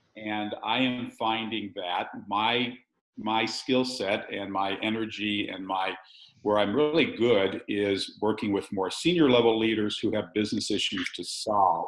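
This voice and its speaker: A man with a plain, everyday voice talks at a fairly slow pace with ordinary pitch variation. The background is quiet. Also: fairly low pitch for a man. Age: 60s. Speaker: executive coach. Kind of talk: webinar panel discussion.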